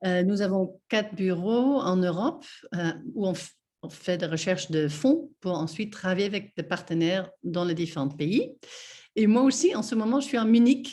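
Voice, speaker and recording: A woman's somewhat breathy, dark, mellow voice at medium pitch, with lively intonation and a moderate pace. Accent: non-native. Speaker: NGO representative, guest speaker. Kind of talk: webinar presentation. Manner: halting, many hesitations.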